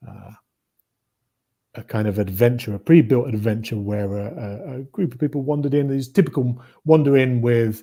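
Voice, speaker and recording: A man with a British accent speaks at a moderate pace in a dark, mellow tone of medium pitch, with ordinary pitch variation and big swings in loudness. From eastern England, Norfolk. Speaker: game designer. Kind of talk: interview.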